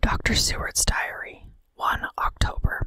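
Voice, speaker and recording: Whispering, a woman keeps to a fairly slow pace. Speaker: podcast host. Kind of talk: ASMR horror story reading. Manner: whispered.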